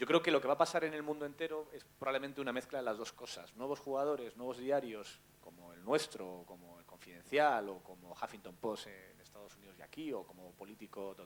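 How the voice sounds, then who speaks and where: This man has an ordinary speaking voice at a medium pitch. His intonation is lively and his pace moderate. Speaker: journalist. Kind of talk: panel talk.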